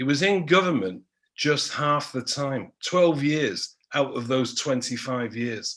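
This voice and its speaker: A man speaks at a fairly slow pace with a Manchester accent. His voice is fairly high, with ordinary pitch variation. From Manchester, northern England. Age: 60s. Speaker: history professor. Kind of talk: panel talk.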